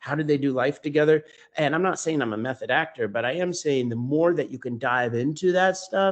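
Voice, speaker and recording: In an unremarkable speaking voice, a man talks at a fairly quick pace and fairly high pitch with ordinary pitch variation over a quiet background. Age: 30s. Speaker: stage actor. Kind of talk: interview.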